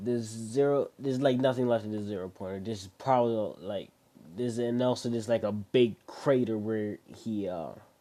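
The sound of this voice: The speaker reads in an unforced reading voice. The intonation stays fairly even.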